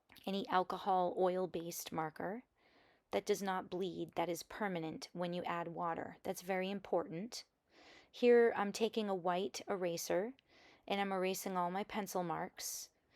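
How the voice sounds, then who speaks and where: Recorded very cleanly against a silent background, a woman speaks at medium pitch with fairly even intonation, the sound dry and close with no echo. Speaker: art journaling tutorial creator. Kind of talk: tutorial. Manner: slow; relaxed, hesitant with fillers.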